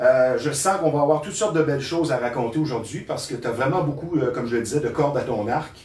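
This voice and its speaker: A man rushes along at a very fast pace, with audible room echo and noticeable background noise around him. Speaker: talk show host. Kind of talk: scripted introduction; interview. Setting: studio.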